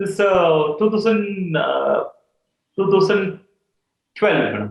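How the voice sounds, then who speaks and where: In an Indian accent, a man speaks at a very slow pace. His pitch is high, and his intonation is fairly even. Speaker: salon business executive. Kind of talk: casual chat. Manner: hesitant, many fillers.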